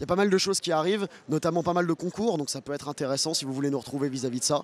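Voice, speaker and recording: A man speaks with ordinary pitch variation over noticeable background noise. The sound is dry and close, with no echo. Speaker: football fan channel host. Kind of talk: post-match discussion. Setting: outdoors in front of a bar.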